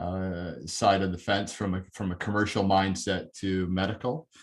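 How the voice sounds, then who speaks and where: A plain, everyday voice with a Canadian accent moves at a moderate pace over a quiet background. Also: man. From Canada, near Toronto. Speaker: corporate learning and development head. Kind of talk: webinar talk.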